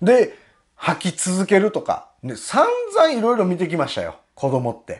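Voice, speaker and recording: A man with a Kansai accent at a fairly slow pace, big swings in loudness, over a quiet background. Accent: Kansai Japanese. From Japan. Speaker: political commentary YouTuber and butcher; online commentator. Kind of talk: monologue commentary. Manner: frequent fillers, rhetorical tags. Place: home room.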